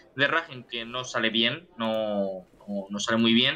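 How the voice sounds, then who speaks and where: This man keeps his intonation fairly even and his pace fairly slow, with noticeable background noise behind him. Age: 20s. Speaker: football podcast co-host. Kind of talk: casual chat. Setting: online call.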